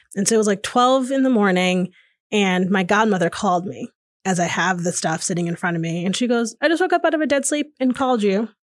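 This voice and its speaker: With an American accent and lively intonation, a woman of medium pitch talks at a very fast pace on a very clean recording with a silent background. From Connecticut, US. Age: 30s. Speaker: podcaster and diversity consultant. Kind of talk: casual interview. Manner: hesitant, many fillers.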